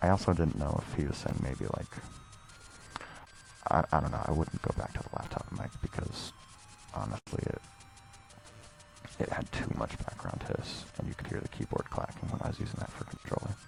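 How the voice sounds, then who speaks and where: With music in the background, a man with a very deep, low pitch talks at a moderate pace, his pitch swinging very widely, with long, frequent pauses. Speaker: video game streamer. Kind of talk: casual chat. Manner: halting; whispering. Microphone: too quiet and distorted dynamic mic.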